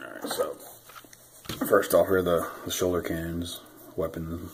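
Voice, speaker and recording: The voice is a man's, pitched very deep and low. He talks fairly quickly. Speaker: toy reviewer. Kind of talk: casual unboxing review chat. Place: home room. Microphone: phone near.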